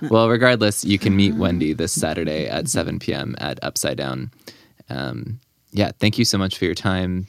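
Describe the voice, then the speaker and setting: Speaking at a moderate pace, a man with a very deep, low pitch shows vocal fry and very wide pitch swings. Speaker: podcast host. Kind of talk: casual interview chat. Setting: studio.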